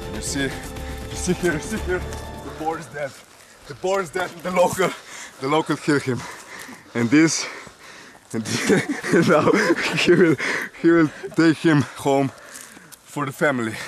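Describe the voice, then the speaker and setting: Amid noticeable background noise, a fairly high-pitched man speaks at a moderate pace with ordinary pitch variation, long, frequent pauses and big swings in loudness. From Slovenia. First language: Slovenian. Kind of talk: comedic parody of survival show narration. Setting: outdoors.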